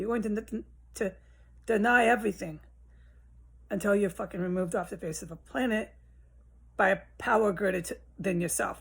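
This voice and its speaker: Putting on a raspy character voice, a woman of medium pitch speaks at a moderate pace with ordinary pitch variation and long, frequent pauses. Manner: stuttering, nervous.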